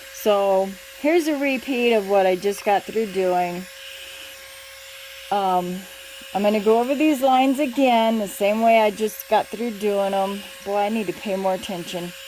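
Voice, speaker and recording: The pace is moderate, broken by long, frequent pauses. Noticeable background noise is present. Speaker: craft hobbyist. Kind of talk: tutorial. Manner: halting.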